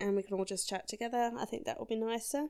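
A woman with an Australian accent talks in a relaxed tone, her intonation fairly even. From South Australia. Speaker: podcast host. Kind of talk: casual solo monologue. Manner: relaxed, laughing often.

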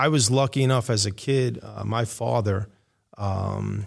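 A man talks at a medium pitch, keeping his intonation fairly even. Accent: New York. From New York City, Queens. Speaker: high school basketball coach. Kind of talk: casual chat. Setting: classroom.

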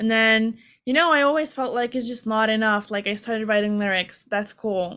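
With a Hungarian accent, a woman speaks at a fairly high pitch. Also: quiet background. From Hungary. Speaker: singer-songwriter. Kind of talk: interview.

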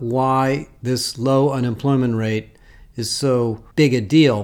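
With an ordinary speaking voice, a man talks at a medium pitch and fairly even intonation in a very clean recording with a silent background. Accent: American. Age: 60s. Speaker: HR industry analyst. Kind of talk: solo commentary. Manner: casual.

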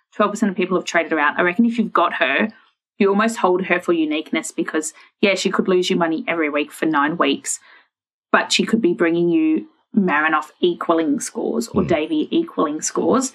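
Speaking in an Australian accent, a woman with fairly low pitch keeps a fairly quick pace. Her intonation is lively and her loudness very even. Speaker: fantasy sports podcast co-host. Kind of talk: casual chat.

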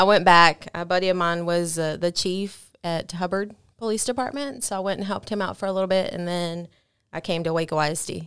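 A woman talks at a fairly quick pace in a normal speaking voice, with a fairly low pitch and ordinary pitch variation. The recording is very clean, with a silent background. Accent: American. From Texas. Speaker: police officer. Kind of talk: interview.

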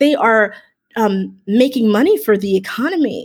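A woman with an American accent talks at a fairly slow pace, her pitch swinging very widely. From Miami, Florida. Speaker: voiceover artist and communication professor. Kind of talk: interview.

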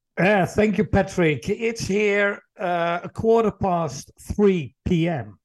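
Speaking at a very slow pace with a Dutch accent, a man uses a high pitch and ordinary pitch variation. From Netherlands. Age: 60s. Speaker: employee engagement consultant and speaker. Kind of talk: interview conversation.

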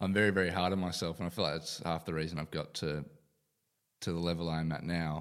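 On a very clean recording with a silent background, a man with an Australian accent talks very fast in a very deep, low, monotone and flat voice. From Perth, Western Australia. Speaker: professional footballer. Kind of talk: casual chat.

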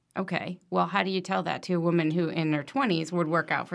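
Very fast speech with vocal fry comes from a woman with a fairly low pitch and ordinary pitch variation. The recording is very clean, with a silent background. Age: 40s. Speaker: medical device professional. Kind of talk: casual interview.

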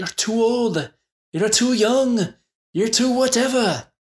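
The speaker puts on a character voice. The delivery is fairly slow. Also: man, extremely high pitch for a man. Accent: Irish. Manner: crazy, playful.

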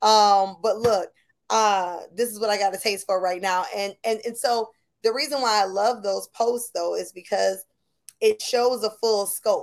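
Here is a woman with an American accent and a normal speaking voice. Her pitch is fairly high and her intonation fairly even. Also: fairly slow pace, very clean recording, silent background. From Buffalo, New York. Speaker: podcast host. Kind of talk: casual chat.

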